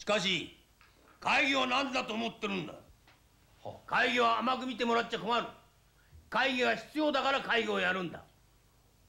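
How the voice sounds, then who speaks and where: Using a raised, projected voice, a man speaks at a moderate pace with ordinary pitch variation. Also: big swings in loudness. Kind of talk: scripted drama dialogue. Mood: stern, scolding boss. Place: office.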